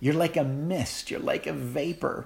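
The man's somewhat breathy voice moves along at a moderate pace. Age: 40s. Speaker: pastor. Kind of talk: sermon.

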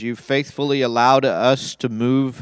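A man talks in a plain, everyday voice, medium in pitch, with fairly even intonation and a moderate pace. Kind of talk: fervent pastoral prayer. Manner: earnest, solemn, tender and heartfelt.

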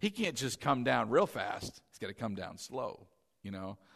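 A man talks at a fairly slow pace in an animated tone, his pitch swinging very widely with vocal fry. The background is quiet. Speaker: pastor. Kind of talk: sermon. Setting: church. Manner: loud.

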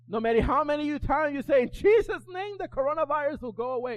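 Shouting loudly at an extremely high pitch, a man sounds animated, with lively intonation. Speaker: pastor. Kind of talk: sermon. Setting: church with congregation. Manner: loud, animated, yelling and repeating lines in full flow; urgent, exhorting the congregation with call-and-response.

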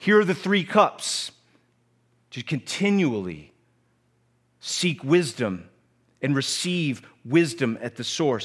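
Very slowly, with long, frequent pauses, a man talks at a fairly high pitch with very wide pitch swings. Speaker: pastor. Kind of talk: sermon. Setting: church.

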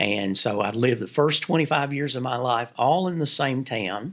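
Over a silent background in a very clean recording, a man with a medium pitch and a bright, sharp tone speaks at a moderate pace with lively intonation. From Kentucky, Williamsburg (southeastern). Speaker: Baptist association mission strategist. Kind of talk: interview conversation. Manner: halting.

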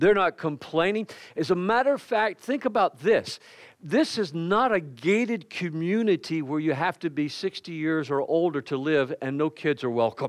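A man at a high pitch with lively intonation and a moderate pace, dry, close sound with no echo, and a quiet background. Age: 60s. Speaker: pastor. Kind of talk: sermon. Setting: church.

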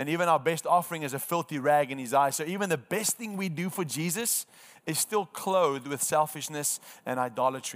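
A man with a plain, everyday voice, fairly high in pitch, with ordinary pitch variation and a fairly quick pace. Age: 30s. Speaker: evangelism trainer. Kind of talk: training workshop. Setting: room with live audience.

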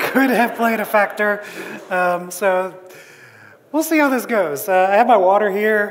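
Over audible room echo, a man with a high pitch and ordinary pitch variation speaks at a fairly slow pace in very even loudness, leaving long, frequent pauses. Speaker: pastor. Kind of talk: sermon. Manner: halting.

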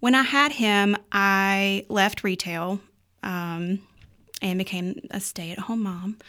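A woman with a Southern US accent speaks at a very slow pace in a medium pitch with ordinary pitch variation. The recording is very clean, with a silent background. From North Carolina, Ruffin (rural). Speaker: stay-at-home mom, church small group leader. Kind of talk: casual chat. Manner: animated, laughs often.

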